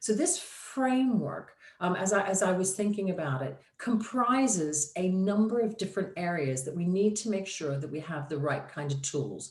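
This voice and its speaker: Lively intonation carries speech at a moderate pace, with noticeable background noise. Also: woman, medium pitch for a woman. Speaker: digital marketing consultant. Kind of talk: presentation.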